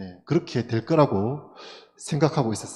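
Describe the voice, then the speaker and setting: Speaking in a Gyeongsang accent, a man uses a dark, mellow tone and lively intonation at a moderate pace. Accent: Gyeongsang dialect, some. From South Gyeongsang, Korea (Tongyeong). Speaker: schoolteacher. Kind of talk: seminar talk. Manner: many fillers, conversational.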